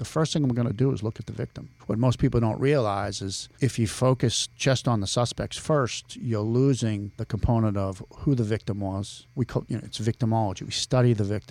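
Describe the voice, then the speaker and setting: A man with a Boston accent talks at a fairly quick pace with hardly any pauses. His medium pitch shows ordinary pitch variation in a very clean recording with a silent background. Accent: Boston accent, still present despite efforts. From Boston area (Billerica, Massachusetts). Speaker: criminal law professor and navy veteran. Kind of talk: casual interview. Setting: podcast studio.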